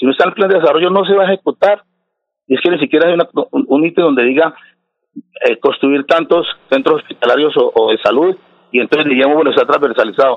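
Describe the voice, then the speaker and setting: A man's high-pitched voice at a very fast pace, with long, frequent pauses, very even loudness, and ordinary pitch variation. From Colombia, Santander (Floridablanca). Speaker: city councillor. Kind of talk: radio interview.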